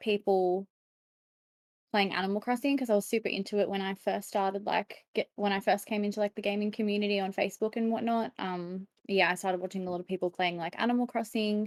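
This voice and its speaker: Talking at a very fast pace, a woman with an Australian accent uses a medium pitch and ordinary pitch variation, in a dry, close sound with no echo. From Australia, Sydney. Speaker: streamer. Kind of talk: casual chat.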